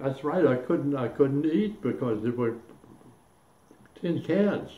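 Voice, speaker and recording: A man's fairly high, dark and mellow voice, somewhat breathy, with lively intonation at a very slow pace. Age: 80s+. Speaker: Korean War veteran. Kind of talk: interview answer.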